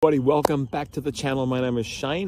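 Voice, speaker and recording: A man's voice of medium pitch with a dark, mellow tone. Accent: Australian. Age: 50s. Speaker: health and physical education teacher. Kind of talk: casual vlog talk to camera. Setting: outdoors in a park.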